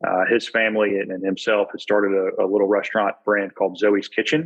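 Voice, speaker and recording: In an American accent, a man talks at a fairly low pitch with fairly even intonation. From US South, Birmingham, Alabama. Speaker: executive MBA student, former college football player. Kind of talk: casual interview chat.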